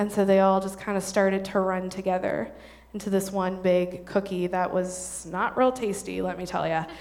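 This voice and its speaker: The voice moves at a moderate pace with fairly even intonation, and audible room echo surrounds it. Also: woman, medium pitch for a woman. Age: 30s. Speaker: church women's ministry speaker. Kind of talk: church talk to an audience. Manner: casual, informal.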